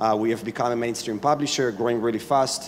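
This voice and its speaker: An Israeli accent with fairly even intonation over noticeable background noise. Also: man. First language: Hebrew. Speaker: startup founder and CEO. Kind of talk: panel discussion.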